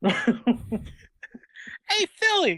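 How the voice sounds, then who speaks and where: A female-sounding, put-on character voice is pitched high. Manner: cartoonish, friendly greeting.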